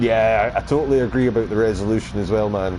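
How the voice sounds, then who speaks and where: A man with a Scottish accent at a fairly quick pace, amid noticeable background noise. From Scotland. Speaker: video game streamer. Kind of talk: casual live stream chat. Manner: hesitant, many fillers; loud at times.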